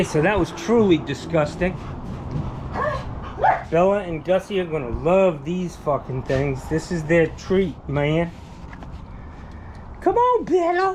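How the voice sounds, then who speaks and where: With long, frequent pauses, a man speaks at a very slow pace and with ordinary pitch variation against noticeable background noise. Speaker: vlogger talking to his dogs. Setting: at home, outdoors in the heat. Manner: casual, profane, rambling.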